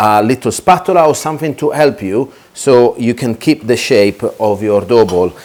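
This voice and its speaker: Speaking with an Italian accent, a man talks at a medium pitch and a fairly slow pace. His intonation is lively. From Italy. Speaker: chef. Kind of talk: tutorial. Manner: hesitant, many fillers.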